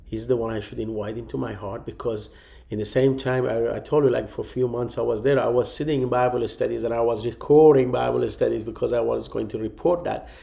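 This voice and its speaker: A man talks at a very fast pace with a Persian accent. He hardly pauses at all. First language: Farsi. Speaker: pastor. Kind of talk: testimony. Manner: halting.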